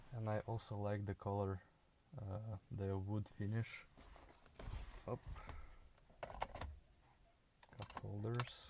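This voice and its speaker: With a dark, mellow tone, a man speaks at a fairly low pitch using fairly even intonation. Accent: non-native. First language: not English. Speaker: car video creator. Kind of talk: casual car walkaround commentary. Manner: halting, many fillers.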